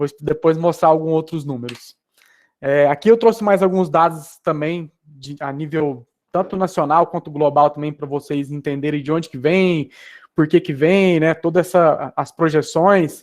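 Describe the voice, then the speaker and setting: Against a quiet background, a man speaks at a fairly high pitch. The intonation is fairly even. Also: moderate pace. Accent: strong Goiânia. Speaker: esports business executive. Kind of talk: presentation with slides. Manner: casual, hesitant with fillers.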